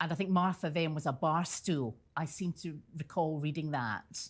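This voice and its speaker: In a very clean recording with a silent background, a woman with a Scottish accent speaks at a moderate pace with a very deep, low pitch and a somewhat breathy voice. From Scotland, Central Belt. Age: 50s. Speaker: interview guest. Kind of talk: TV interview.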